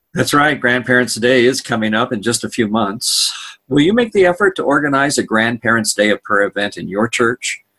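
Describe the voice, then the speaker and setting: At a fairly quick pace, a man speaks with a bright, sharp tone in a dry, close sound with no echo. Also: medium pitch for a man, ordinary pitch variation. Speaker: podcast host. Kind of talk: interview, ministry podcast.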